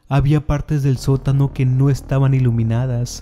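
Here a man speaks with a dark, mellow tone. His intonation stays monotone and flat. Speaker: horror storyteller narrating his own story. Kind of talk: first-person horror narration, a recorded confession. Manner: hushed, slow and ominous, building to frantic, desperate denial.

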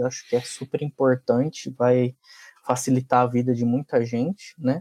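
A man talks with a dark, mellow tone. His pitch sits fairly high. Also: dry, close sound with no echo. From Francisco Morato, São Paulo state, Brazil. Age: 30s. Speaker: RPA tech lead. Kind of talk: casual chat.

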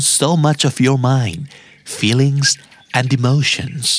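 Speaking at a fairly slow pace, a man with a fairly high pitch talks with a Thai accent. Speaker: podcast host. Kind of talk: asmr soothing bedtime narration, repeating English phrases with Thai translation. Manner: repetitive, each phrase said two or three times.

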